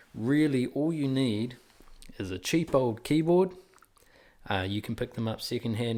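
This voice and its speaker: At a moderate pace, a man speaks in a dark, mellow tone on a very clean recording with a silent background. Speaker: music teacher. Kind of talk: tutorial. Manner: casual, filler-heavy.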